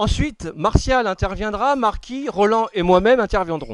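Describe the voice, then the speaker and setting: This man's pitch sits high. He talks at a moderate pace. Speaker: political association organizer. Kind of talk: speech at a political dinner. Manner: formal.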